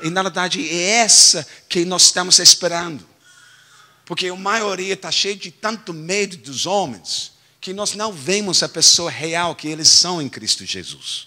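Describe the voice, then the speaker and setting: Speaking with an English accent, a man talks at a fairly slow pace with a high pitch. His volume shows big swings in loudness. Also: ordinary pitch variation. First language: English (speaking Portuguese). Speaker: pastor. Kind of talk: sermon. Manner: halting, self-correcting.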